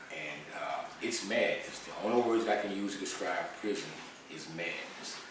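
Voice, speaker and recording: A man speaks at a fairly slow pace, with noticeable background noise and audible room echo around him. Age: 60s. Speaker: former prisoner, founder of reentry organization. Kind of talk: interview testimony. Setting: studio.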